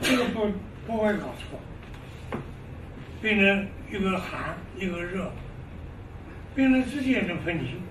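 A man speaks at a very slow pace, with long, frequent pauses, amid noticeable background noise. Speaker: traditional Chinese medicine doctor; lecturer on traditional medicine. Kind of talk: lecture. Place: classroom.

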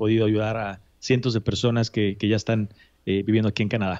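A man talks at a fairly quick pace. His intonation is monotone and flat, and the background is quiet. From Mexico City, Mexico; Mexico. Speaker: immigration consultant; podcast guest or host. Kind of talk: interview. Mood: friendly, relaxed. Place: office. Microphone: studio mic.

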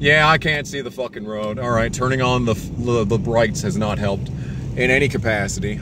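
A man talks at a very fast pace with ordinary pitch variation, in a dry sound with no echo and noticeable background noise. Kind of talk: casual vlog chat. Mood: tense, joking. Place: car. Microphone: phone near.

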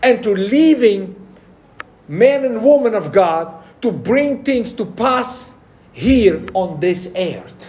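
Over noticeable background noise, a man with an extremely high-pitched voice speaks very slowly, his intonation lively. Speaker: pastor preaching to a congregation. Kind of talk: sermon.

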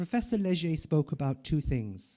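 A man speaks with lively intonation at a fairly high pitch. His tone is dark and mellow, and the background is quiet. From Ireland. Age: 50s. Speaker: palliative care professor. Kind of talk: conference talk. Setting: stage with audience. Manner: slow. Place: hall. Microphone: podium.

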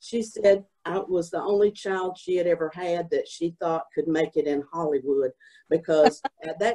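Fairly low in pitch, a woman speaks at a fairly slow pace with a dark, mellow tone. Her pitch varies in an ordinary way against a quiet background. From Southport, North Carolina. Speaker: oral history panelist. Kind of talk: oral history panel talk. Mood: animated, humorous reminiscing. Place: home room. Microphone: video call.

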